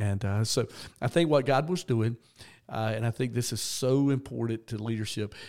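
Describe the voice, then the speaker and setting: Speaking with a Southern US accent, a man keeps a medium pitch, a moderate pace and ordinary pitch variation in a very clean recording with a silent background. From US South, Georgia. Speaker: retired senior pastor, now develops pastors. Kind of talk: interview conversation.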